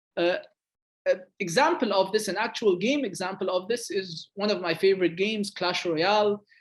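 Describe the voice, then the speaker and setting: A man talks at a moderate pace in a high pitch. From Egypt. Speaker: game designer. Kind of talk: lecture.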